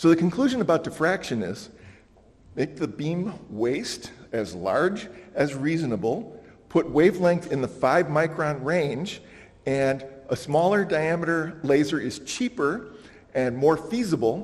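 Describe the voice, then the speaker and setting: Lively intonation from a man at a fairly high pitch and fairly slow pace, with noticeable background noise. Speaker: conference speaker. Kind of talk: conference presentation.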